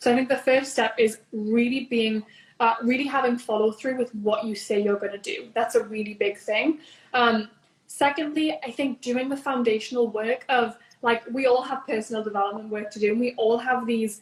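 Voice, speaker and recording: Speaking at a moderate pace, a woman with a Newcastle accent has a fairly high pitch. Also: fairly even intonation. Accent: Newcastle accent noticeable. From northern England (Newcastle). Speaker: business founder and coach. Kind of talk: interview.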